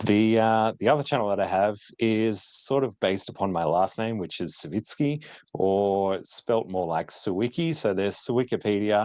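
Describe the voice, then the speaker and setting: A man with an Australian accent speaks in a fairly low pitch. His pace is moderate and the background is quiet. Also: ordinary pitch variation. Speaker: retro tech youtuber. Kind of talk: casual chat. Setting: live stream.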